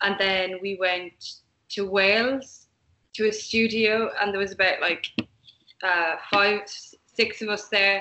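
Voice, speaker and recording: A woman with an Irish accent speaks at a very slow pace in a monotone, flat intonation. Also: medium pitch for a woman. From Ireland, Limerick. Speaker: musician in a band. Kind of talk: interview.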